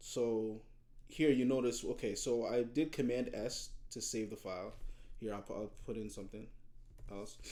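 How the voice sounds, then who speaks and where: At a moderate pace, a man with a medium pitch and a dark, mellow tone talks in fairly even intonation amid audible room echo. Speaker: high school computer science teacher. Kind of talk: screen-recorded tutorial. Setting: video recording with webcam. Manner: halting, frequent repetitions.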